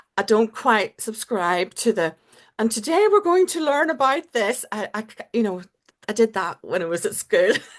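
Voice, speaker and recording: A woman's fairly high pitch moves in very wide swings. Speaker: podcast host. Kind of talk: casual chat. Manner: fast when excited.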